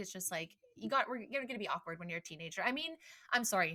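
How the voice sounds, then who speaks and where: A woman talks very fast with a western Canadian accent. Her tone is bright and sharp, and her intonation is lively. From western Canada (Port Alberni, BC). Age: 30s. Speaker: podcast host. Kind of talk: casual chat.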